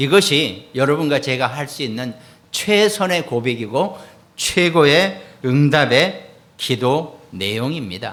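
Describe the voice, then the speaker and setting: A man speaks with lively intonation. Audible room echo surrounds the voice. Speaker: pastor. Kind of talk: sermon.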